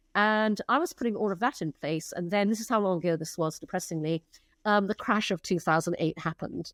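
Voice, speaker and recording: On a very clean recording with a silent background and a dry, close sound with no echo, a woman with a normal speaking voice talks at a fairly quick pace, using a medium pitch and ordinary pitch variation. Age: 60s. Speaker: advertising executive and entrepreneur. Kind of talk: interview conversation.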